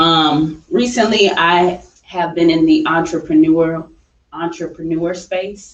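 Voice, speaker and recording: Someone speaks at a very slow pace with an American accent. The intonation stays fairly even. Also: woman, fairly low pitch for a woman. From upstate New York. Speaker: film director and entrepreneur. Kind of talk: radio interview. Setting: radio show.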